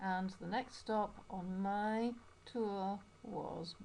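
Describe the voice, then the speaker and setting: A woman with a Yorkshire accent speaks in a somewhat breathy voice with a dark, mellow tone. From Yorkshire, northern England. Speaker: English teacher. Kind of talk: personal video narration.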